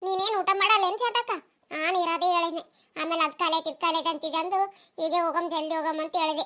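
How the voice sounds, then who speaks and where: In a very clean recording with a silent background, a woman does a cartoonish character voice at an extremely high pitch, fairly quick and with fairly even intonation. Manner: chatty, complaining.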